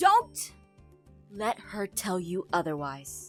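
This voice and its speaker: A raspy, put-on character voice drags along at a very slow pace over faint background music. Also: woman, medium pitch for a woman. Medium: role play. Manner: calm, soft-spoken.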